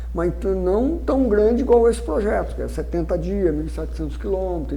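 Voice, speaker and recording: A man talks at a fairly quick clip with hardly any pauses, over noticeable background noise and audible room echo. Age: 60s. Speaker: mule trekker on historical journey. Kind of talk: interview.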